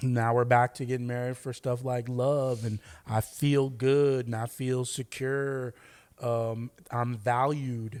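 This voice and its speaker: In an Oakland accent, a man speaks very slowly in a flat monotone. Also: medium pitch for a man, very clean recording, silent background. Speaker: podcast co-host. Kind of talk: casual chat.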